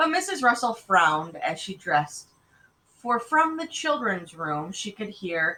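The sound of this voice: What you hear is an unforced reading voice.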